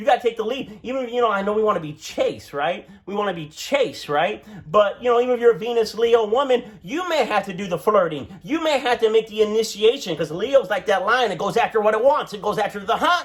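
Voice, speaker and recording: Loud and animated, a man talks at a very fast pace with a high pitch, lively intonation and hardly any pauses, over noticeable background noise. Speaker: astrologer. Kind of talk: tutorial.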